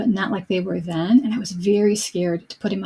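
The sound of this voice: The voice reads in an unforced way. Pitch moves with ordinary variation.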